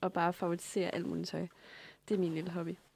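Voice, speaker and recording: A woman speaks at a medium pitch. The recording is very clean, with a silent background and a dry, close sound free of echo. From provincial Denmark. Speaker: podcast host. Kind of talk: casual interview chat. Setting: radio studio.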